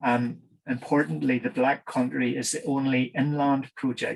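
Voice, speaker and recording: Speaking at a fairly slow pace, a man with a Northern Irish accent keeps his intonation fairly even. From Northern Ireland. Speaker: engineer, project manager. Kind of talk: conference presentation. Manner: halting with many fillers.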